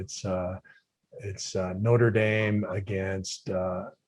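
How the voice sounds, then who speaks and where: This man has an American accent and a fairly low pitch. His intonation is monotone and flat. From Minnesota, US Midwest. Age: 60s. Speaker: retired football player. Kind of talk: casual interview.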